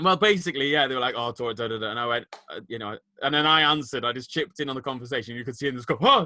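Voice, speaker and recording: Very fast and with lively intonation, a man talks in a northern English accent. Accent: northern English twang. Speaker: podcast co-host, teacher. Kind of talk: casual chat.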